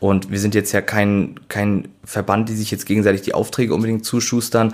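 A man speaks with flat, monotone intonation. His voice is fairly low. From Schleswig-Holstein, northern Germany. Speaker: chef and delicatessen owner. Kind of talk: casual interview. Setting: at his shop.

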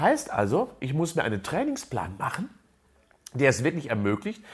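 A man's fairly high voice with vocal fry and very wide pitch swings, at a moderate pace, in a very clean recording with a silent background. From Germany, near Unna (Westphalia). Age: 60s. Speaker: sports scientist and professor. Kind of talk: interview.

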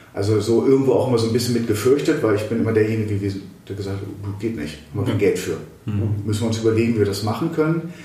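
Speech races along at a very fast pace with ordinary pitch variation, and audible room echo surrounds it. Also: man, medium pitch for a man. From West Germany. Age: 50s. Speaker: state politician. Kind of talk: interview. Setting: office.

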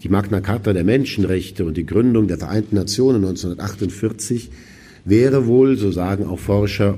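Audible room echo surrounds a man's fairly low, somewhat breathy voice with a dark, mellow tone, ordinary pitch variation and a moderate pace. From West Germany. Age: 50s. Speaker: auxiliary bishop. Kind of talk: lecture. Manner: formal.

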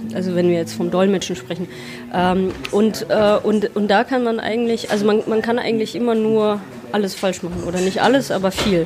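Fairly quick speech from a woman at a medium pitch, over clear background noise. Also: ordinary pitch variation. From Germany. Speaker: interpreter and translator. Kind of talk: interview. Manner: halting, many repetitions.

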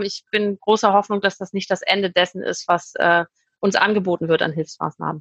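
A woman with a medium pitch speaks at a moderate pace. Her tone is bright and sharp, and the sound is dry and close with no echo. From Hamburg, northern Germany. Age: 40s. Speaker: restaurant owner. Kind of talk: interview.

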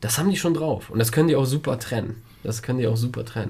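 There is audible room echo as a man with a dark, mellow, somewhat breathy voice talks at a very fast pace. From Germany (grew up with Polish-speaking parents). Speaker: podcast co-host, father. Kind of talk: casual chat.

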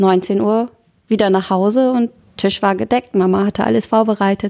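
A woman's dark, mellow voice at medium pitch, with a fairly slow pace and fairly even intonation, in a dry, close sound with no echo and a very clean recording over a silent background. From northern Germany, Oldenburg area (Lower Saxony). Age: 20s. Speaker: church youth volunteer. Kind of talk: casual chat.

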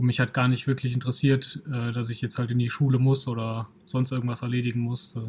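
A man of medium pitch talks fairly quickly with hardly any pauses. His voice is somewhat breathy, with monotone, flat intonation. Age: 30s. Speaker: kung fu school owner and podcast co-host. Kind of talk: casual chat.

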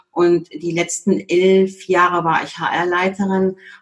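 This is a woman speaking at a medium pitch. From Germany. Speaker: HR consultant. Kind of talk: interview.

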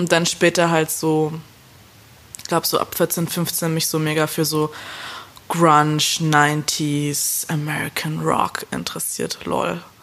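A woman's very deep, low voice, very slow and monotone, flat in intonation, over noticeable background noise. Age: 20s. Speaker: indie pop musician. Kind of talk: casual interview. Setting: remote call.

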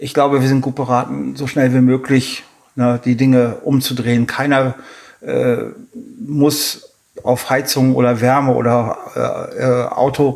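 Flat and monotone, a man's voice holds a medium pitch. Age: 50s. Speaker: mudflat hiking guide, former navy airman. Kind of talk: interview. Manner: hesitant, many filler sounds.

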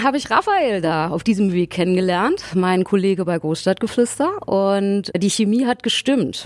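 A woman at a medium pitch speaks with lively intonation and very even loudness. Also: hardly any pauses. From Berlin. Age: 40s. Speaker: singer. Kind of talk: casual chat.

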